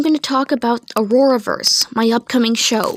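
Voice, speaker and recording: The sound is dry and close with no echo, though background noise is noticeable. A woman speaks at a high pitch with ordinary pitch variation. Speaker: amateur animator presenting own show. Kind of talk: casual video update presenting characters. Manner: halting.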